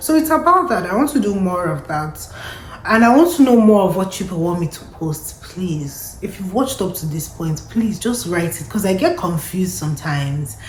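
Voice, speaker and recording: Amid noticeable background noise and audible room echo, a woman speaks at a moderate pace with very wide pitch swings. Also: medium pitch for a woman. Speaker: lifestyle and immigration vlogger. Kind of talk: casual vlog monologue. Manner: conversational, reflective.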